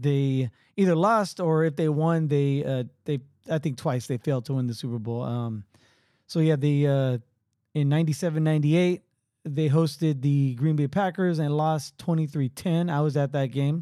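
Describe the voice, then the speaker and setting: A man speaks fairly slowly with a fairly high pitch and a dark, mellow tone. His pitch varies in an ordinary way, and the recording is very clean with a silent background. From San Francisco Bay Area. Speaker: podcast host. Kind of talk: casual chat. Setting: home studio.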